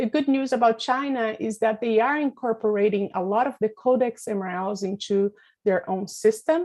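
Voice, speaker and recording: A woman in a normal speaking voice, fairly high in pitch, with ordinary pitch variation, a moderate pace and a quiet background. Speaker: pesticide regulation expert. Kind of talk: webinar presentation.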